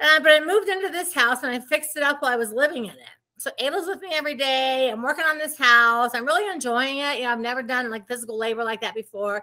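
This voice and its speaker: A woman's high, bright, sharp voice, raised and projected, very fast with hardly any pauses, lively intonation, an animated tone and big swings in loudness. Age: 60s. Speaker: real estate investor. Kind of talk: interview.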